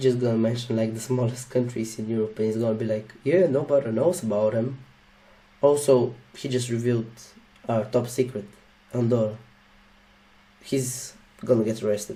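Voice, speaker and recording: In a Slavic accent, a somewhat breathy voice with a dark, mellow tone moves at a fairly quick pace with fairly even intonation and long, frequent pauses. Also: man. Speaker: YouTuber reacting to a video. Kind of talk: casual reaction commentary.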